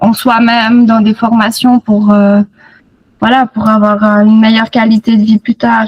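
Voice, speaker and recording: A woman speaks in a fairly high, somewhat breathy voice with flat, monotone intonation, and the sound is dry and close with no echo. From Switzerland, Fribourg region. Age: 30s. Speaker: nurse, program student. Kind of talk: interview testimony. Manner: hesitant, many fillers.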